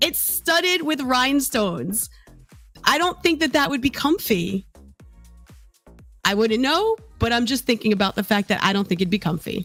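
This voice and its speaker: With music in the background, a woman at a fairly high pitch speaks at a moderate pace with very wide pitch swings, very even loudness and long, frequent pauses. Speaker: VTuber entertainment news host. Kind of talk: entertainment news talk show, casual livestream. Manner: chatty, gossipy, casual.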